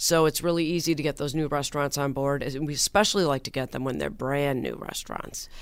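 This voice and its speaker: Very fast and with hardly any pauses, a woman speaks at a very deep, low pitch. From not from Buffalo. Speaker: restaurant week organizer. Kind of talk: interview. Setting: radio studio.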